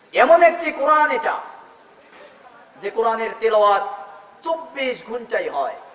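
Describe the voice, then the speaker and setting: Amid noticeable background noise, a man speaks in a passionate tone. His voice is extremely high, with lively intonation. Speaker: Islamic scholar giving a sermon. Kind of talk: Islamic sermon (waz) talk. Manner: emphatic, passionate preaching.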